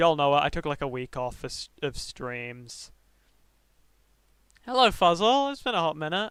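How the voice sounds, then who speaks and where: In a very clean recording with a silent background, a man with a British accent and a fairly high pitch speaks at a moderate pace, swinging his pitch very widely and leaving long, frequent pauses. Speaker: streamer. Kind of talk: casual livestream talk. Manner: halting.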